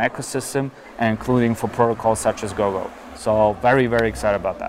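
Over noticeable background noise, a man talks at a medium pitch and a moderate pace. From Germany (Berlin). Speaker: crypto startup founder. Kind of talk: interview. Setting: outdoors, walking.

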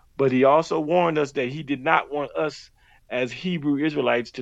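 Over a quiet background, a man with an unremarkable speaking voice talks at a fairly high pitch, a moderate pace and fairly even intonation. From Miami, Florida. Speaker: former religious group member. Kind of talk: interview testimony.

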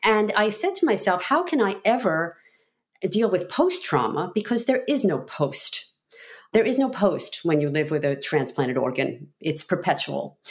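A woman with an American accent at a medium pitch, very wide pitch swings, vocal fry and a moderate pace. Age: 50s. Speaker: attorney and author, heart transplant patient. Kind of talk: interview.

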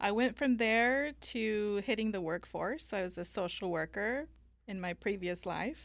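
A woman with an American accent in an unremarkable speaking voice, medium in pitch with ordinary pitch variation, fairly slow, on a very clean recording with a silent background. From Mexico (Guanajuato), then Northern California. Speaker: estate planning lawyer. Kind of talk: interview.

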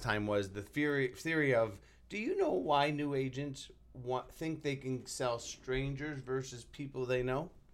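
Using ordinary pitch variation, a man talks at a fairly slow pace and a medium pitch. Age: 40s. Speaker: real estate coach. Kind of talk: casual chat. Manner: rambling, halting with fillers.

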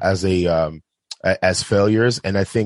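With a normal speaking voice, a man speaks at a fairly slow pace and a fairly low pitch, with ordinary pitch variation, in a dry, close sound with no echo. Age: 30s. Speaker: film director. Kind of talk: casual chat.

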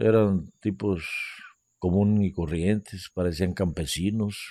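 Dark and mellow in tone, a man's fairly low voice moves at a very slow pace. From Guerrero coast, Mexico. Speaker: retired bank employee. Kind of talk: storytelling interview.

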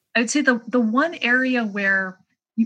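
Somewhat breathy and fairly high in pitch, a woman talks at a fairly slow pace with ordinary pitch variation. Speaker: economist. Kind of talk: interview.

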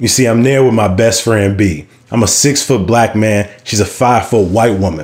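At a moderate pace, a man with a fairly low pitch speaks with ordinary pitch variation and very even loudness. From Chicago South Side. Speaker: storyteller. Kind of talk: live storytelling. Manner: animated.

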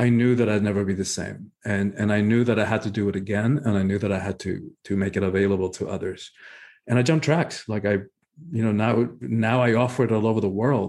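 A man with a Spanish accent, fairly low in pitch, at a fairly quick pace with ordinary pitch variation. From Cuba. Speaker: spiritual teacher and author. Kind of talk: interview.

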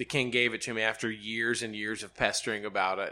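Speaking fairly quickly with a Southern US accent, a man has a bright, sharp tone and a monotone, flat intonation, recorded very cleanly against a silent background. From Alabama, Birmingham. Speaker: TV sports features reporter. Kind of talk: casual interview chat. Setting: office trailer at the race track.

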